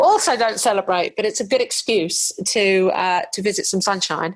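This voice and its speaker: A woman speaks at a moderate pace in an English accent. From England. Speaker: podcast host. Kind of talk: podcast interview.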